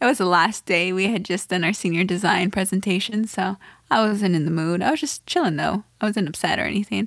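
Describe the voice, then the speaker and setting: Vocal fry runs through this woman's medium-pitched voice as she talks at a very fast pace with ordinary pitch variation. The recording is very clean and the background silent. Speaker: podcast co-host. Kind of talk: casual conversation.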